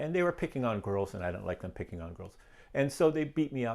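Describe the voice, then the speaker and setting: In a Canadian accent, a man uses a plain, everyday voice with lively intonation at a fairly quick pace, on a very clean recording with a silent background. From Ontario, Canada (Niagara region). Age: 60s. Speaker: guest sharing life story. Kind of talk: testimony. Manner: casual, conversational.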